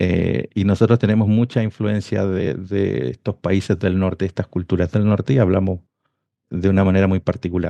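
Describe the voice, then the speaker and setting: The dark, mellow voice carries a Chilean accent and ordinary pitch variation. It moves at a moderate pace in a dry, close recording with no echo. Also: man, very deep, low pitch for a man. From northern Chile. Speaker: industrial engineer and devotional author. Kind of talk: interview.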